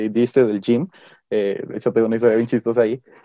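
A man's dark, mellow voice, dry and close with no echo, over a quiet background. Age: 18. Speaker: pastor's son, church youth member. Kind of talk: casual chat.

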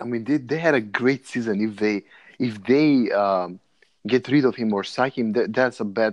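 A man with a Macedonian accent at a moderate pace, ordinary pitch variation, and a quiet background. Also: medium pitch for a man. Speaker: podcast host. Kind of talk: casual banter. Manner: profane, joking.

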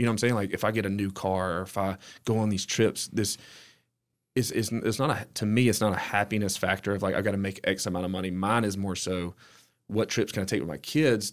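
A man with an Alabama accent talks very fast, keeping his intonation fairly even. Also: fairly low pitch for a man. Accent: US Southern (Alabama). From Alabama, near Hueytown. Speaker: entrepreneur. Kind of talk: casual interview chat.

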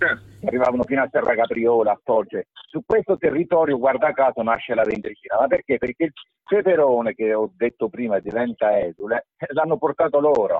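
A man's unremarkable speaking voice at medium pitch, with lively intonation and very even loudness. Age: 60s. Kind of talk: explanatory discussion, slightly heated. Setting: phone or video call.

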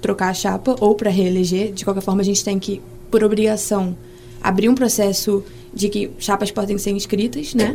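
Speaking at a moderate pace, a woman uses a normal speaking voice at a medium pitch. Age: 20s. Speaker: medical student, student association president. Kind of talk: casual interview.

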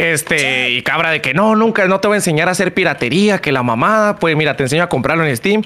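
Noticeable background noise sits behind this recording. A man with a high pitch talks at a very fast pace. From Chihuahua, northern Mexico. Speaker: streamer and content creator. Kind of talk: casual chat.

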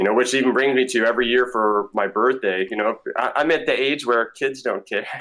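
A man with an American accent and an unremarkable speaking voice, medium in pitch, at a fairly quick pace. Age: 40s. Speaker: travel nurse, navy veteran. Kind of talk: interview.

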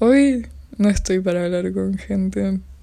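A woman in a Rioplatense accent speaks at a very slow pace. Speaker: podcaster. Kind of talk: solo casual monologue.

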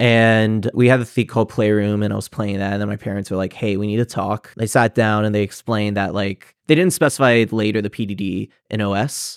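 In a very clean recording with a silent background and a dry, close sound with no echo, a man with a normal speaking voice talks at a fairly quick pace and a fairly low pitch, with fairly even intonation and hardly any pauses. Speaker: PhD student in psychology. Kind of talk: casual interview.

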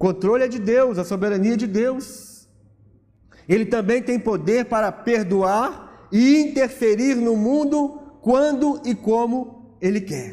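A man's extremely high yet dark, mellow voice at a very slow pace. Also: ordinary pitch variation. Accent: Brazilian. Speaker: pastor. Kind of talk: sermon, preaching to a congregation. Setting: church. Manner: emphatic, rhetorical, rising and fervent; conversational, explaining with questions and repetition.

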